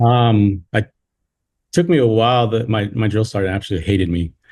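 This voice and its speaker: In a very clean recording with a silent background, a man with an American accent speaks at a fairly low pitch, somewhat breathy, with a dark, mellow tone and fairly even intonation. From California. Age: 30s. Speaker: insurance sales agent and army veteran. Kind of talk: casual chat. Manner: halting; laid-back.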